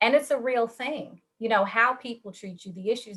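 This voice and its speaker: A woman talks at a moderate pace in an ordinary speaking voice, with ordinary pitch variation. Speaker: panelist. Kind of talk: panel discussion.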